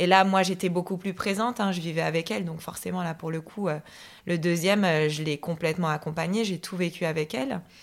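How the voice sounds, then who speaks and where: A woman's fairly low-pitched voice has ordinary pitch variation. The recording is very clean, with a silent background. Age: 30s. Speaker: woman sharing her hereditary cancer gene story. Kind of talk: personal testimony. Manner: hesitant, many fillers.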